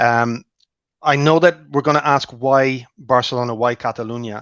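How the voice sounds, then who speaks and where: Here a man speaks at a medium pitch with fairly even intonation. The sound is dry and close with no echo, over a quiet background. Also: moderate pace. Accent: Irish. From Ireland. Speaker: clinical research relationship manager. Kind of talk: webinar panel talk. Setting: video call.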